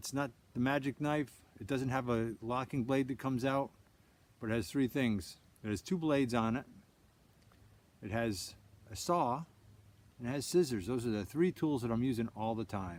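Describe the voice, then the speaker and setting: A man speaks at a moderate pace and medium pitch. His pitch varies in an ordinary way, and he leaves long, frequent pauses. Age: 60s. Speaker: outdoorsman demonstrating gear. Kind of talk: casual product show-and-tell. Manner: halting, repeats words.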